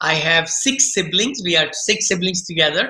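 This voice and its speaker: This man speaks with an Indian accent at a moderate pace. His tone is bright and sharp. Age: 60s. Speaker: real estate investor. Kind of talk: podcast interview. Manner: animated.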